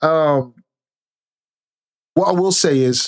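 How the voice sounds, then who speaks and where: Male voice with ordinary pitch variation. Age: 30s. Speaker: commentary streamer. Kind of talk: casual commentary monologue. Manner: conversational.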